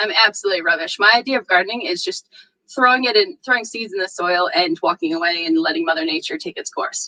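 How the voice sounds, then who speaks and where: A woman's animated voice with an American accent, bright and sharp in tone, with very wide pitch swings and a dry, close sound with no echo. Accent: American, unchanged. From northeastern US. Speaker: security conference speaker. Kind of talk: conference talk. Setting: virtual meetup.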